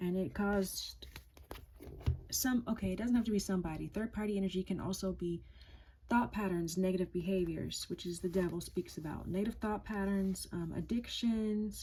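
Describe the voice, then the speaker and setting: This is a woman with a plain, everyday voice, pitched in the medium range. She keeps a moderate pace, and her intonation stays fairly even. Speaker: tarot reader. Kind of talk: tarot reading.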